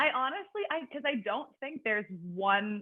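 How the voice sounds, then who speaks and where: The speaker is a woman with ordinary pitch variation. She talks very slowly. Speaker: personal trainer. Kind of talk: podcast interview. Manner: loud; talkative.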